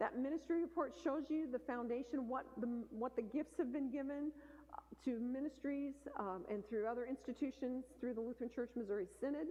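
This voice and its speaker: A woman speaks at a high pitch. Her pace is fairly quick. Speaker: church foundation representative. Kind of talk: presentation. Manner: fast.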